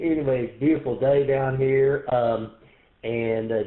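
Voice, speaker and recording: With a Texan accent, a man at a medium pitch speaks at a fairly slow pace with ordinary pitch variation. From East Texas. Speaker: amateur radio operator. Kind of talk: radio net check-in. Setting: radio shack, radio net.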